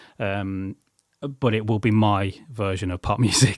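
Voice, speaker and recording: On a very clean recording with a silent background and a dry, close sound with no echo, a man with an English Midlands accent speaks at a fairly slow pace with a fairly low pitch. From England, Coventry. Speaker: musician and songwriter. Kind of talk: casual chat. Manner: halting.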